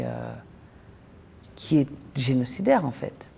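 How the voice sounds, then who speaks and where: Over noticeable background noise, a woman speaks at a very slow pace. Her pitch is very deep and low. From DR Congo, Lubumbashi. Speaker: poet and actress. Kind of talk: interview testimony. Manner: hesitant, many fillers.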